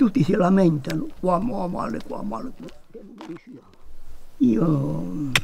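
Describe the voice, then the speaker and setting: Pitch swings very widely as a man talks in a high voice. Light background noise can be heard. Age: 80s+. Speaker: gardener. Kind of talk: documentary interview reflection. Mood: calm, content. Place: open country.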